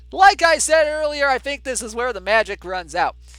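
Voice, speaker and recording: Someone with an American accent talks at a moderate pace over music in the background. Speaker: video game tournament streamer and commentator. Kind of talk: live play-by-play commentary of simulated baseball; casual chat with chat viewers. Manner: animated.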